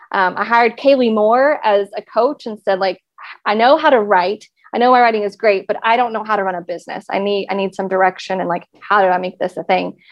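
A woman with an American accent speaks at a fairly quick pace. Her pitch is medium, with ordinary variation. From Texas. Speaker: content marketing consultant. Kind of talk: podcast interview.

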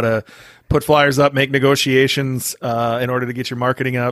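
A man talks at a medium pitch. The recording is very clean with a silent background. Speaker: podcast host. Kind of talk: casual interview. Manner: casual, enthusiastic.

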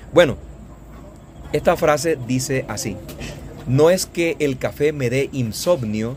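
With noticeable background noise behind him, a man speaks at a medium pitch and ordinary pitch variation. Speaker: Spanish teacher and podcast host. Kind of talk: casual interview. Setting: outdoors on a coffee farm.

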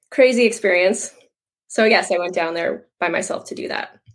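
A woman is speaking. She has a Canadian Prairie accent. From Canadian Prairies (Moose Jaw, Saskatchewan). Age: 30s. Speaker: online health and fitness coach. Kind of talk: casual interview.

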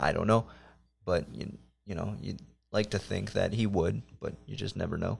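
A man talks at a moderate pace in an American accent. He leaves long, frequent pauses. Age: 20s. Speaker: podcast host. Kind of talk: casual chat.

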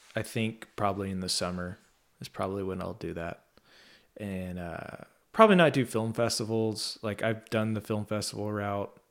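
In a plain, everyday voice, a man speaks at a moderate pace with fairly low pitch, fairly even intonation and big swings in loudness, on a very clean recording with a silent background. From Texas. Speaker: podcast host, documentary journalist. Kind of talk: casual interview chat.

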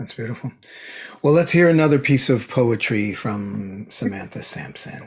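A man speaks at medium pitch and a moderate pace, his intonation lively. His voice is somewhat breathy, with big swings in loudness. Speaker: podcast host. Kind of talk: interview, formal host. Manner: formal, warm.

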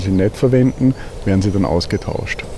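A man speaks at a moderate pace in a fairly low voice with fairly even intonation, over noticeable background noise. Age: 50s. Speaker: beekeeper. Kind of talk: casual interview. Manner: hesitant, many fillers.

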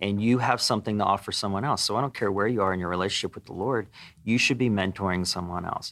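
With an American accent, a man talks at a very fast pace with a fairly low pitch and fairly even intonation in a very clean recording with a silent background. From small-town Pennsylvania. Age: 40s. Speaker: landlord and Air Force veteran. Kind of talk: casual interview chat. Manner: blunt, direct.

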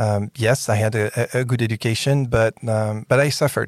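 Speaking with a French accent, a man talks at a moderate pace and medium pitch. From France. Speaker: podcast host and tech innovation executive. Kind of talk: interview. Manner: animated.

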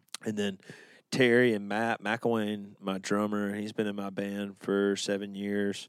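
He speaks fairly slowly in an Alabama accent. His intonation is monotone and flat. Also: fairly low pitch for a man, very clean recording, silent background. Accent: Alabama Southern US. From Birmingham, Alabama. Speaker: country singer. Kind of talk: casual chat.

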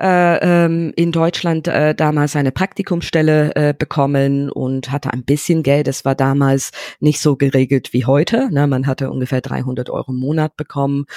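A woman with an English accent speaks at a very deep, low pitch in a dark, mellow tone, with fairly even intonation. She keeps a moderate pace with hardly any pauses, in a very clean recording with a silent background and a dry, close sound with no echo. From England, London. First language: English (speaking German). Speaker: entrepreneur. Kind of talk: interview. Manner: halting.

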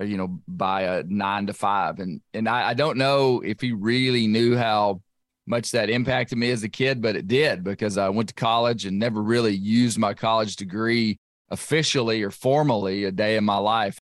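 A man talks with an Arkansas accent. His pace is moderate. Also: medium pitch for a man, ordinary pitch variation. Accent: Southern US (Arkansas). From western Arkansas. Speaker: podcast host and bear hunter. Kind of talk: casual interview conversation. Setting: remote recording.

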